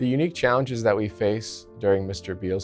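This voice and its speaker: With faint music in the background, a man talks at a fairly quick pace with fairly even intonation. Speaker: transplant surgeon. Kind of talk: interview answer. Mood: calm, professional. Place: hall. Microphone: lapel.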